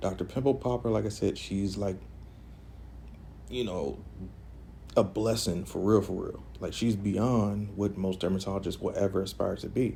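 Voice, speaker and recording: With vocal fry and a dark, mellow tone, a fairly low-pitched man talks at a moderate pace, leaving long, frequent pauses. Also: ordinary pitch variation. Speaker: esthetician / massage therapist. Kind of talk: casual talk to camera during a facial treatment.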